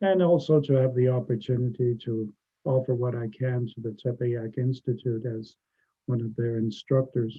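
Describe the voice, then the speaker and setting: A man with a normal speaking voice talks at medium pitch and a moderate pace, his intonation fairly even. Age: 60s. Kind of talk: interview.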